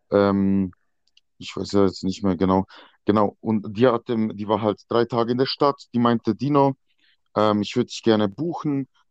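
A man speaks at a moderate pace with fairly low pitch and ordinary pitch variation, leaving long, frequent pauses, the sound dry and close with no echo against a quiet background. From Switzerland, near Basel. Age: 20s. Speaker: escort. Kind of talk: casual chat.

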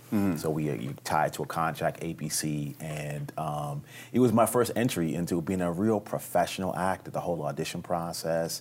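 Moving at a moderate pace with hardly any pauses, a man speaks in a New York accent. His pitch is very deep and low, with ordinary variation. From New York City, the Bronx. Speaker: actor. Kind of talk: casual interview. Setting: hotel, filmed for television.

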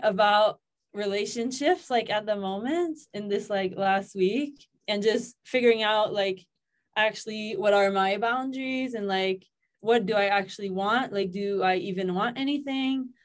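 Speaking with a Quebec accent, a woman talks at a moderate pace and fairly high pitch, with ordinary pitch variation. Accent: Quebecois French-accented English. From Quebec, Canada. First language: French. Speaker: yoga teacher and content creator. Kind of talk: casual chat.

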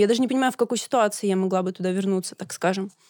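The speech moves at a very fast pace with fairly even intonation. The recording is very clean, with a silent background. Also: woman, dry, close sound with no echo. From Russia, Kemerovo region (Siberia). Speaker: podcast co-host. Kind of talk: debate. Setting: studio.

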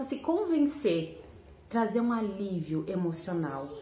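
A woman speaks at a fairly slow pace. There is audible room echo. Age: 30s. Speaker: weight-loss storyteller. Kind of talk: personal testimony and motivational talk.

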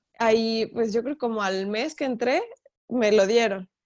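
A woman with a central Mexican accent speaks in a fairly even intonation. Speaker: professional folk dancer. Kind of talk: interview.

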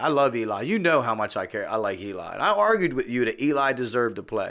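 On a very clean recording with a silent background, a man talks at a very fast pace in a medium-pitched, bright, sharp voice with an animated tone. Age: 40s. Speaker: sports podcast host. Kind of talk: casual chat. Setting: studio.

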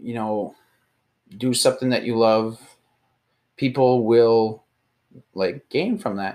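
A man talks at medium pitch. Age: 20s. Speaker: podcast host, content creator. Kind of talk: motivational monologue. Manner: casual, hesitant with fillers.

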